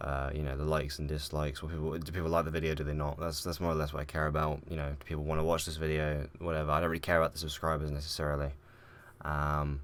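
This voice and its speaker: A quiet man's voice, very deep and low, at a very fast pace in a monotone, flat intonation, in a very clean recording with a silent background. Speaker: gaming YouTuber. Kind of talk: casual vlog talk. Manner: hesitant, many fillers.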